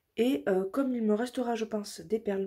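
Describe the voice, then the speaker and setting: At a moderate pace, a woman speaks in a fairly high pitch with a dark, mellow tone and ordinary pitch variation. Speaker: craft vlogger. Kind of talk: tutorial. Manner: hesitant, many fillers.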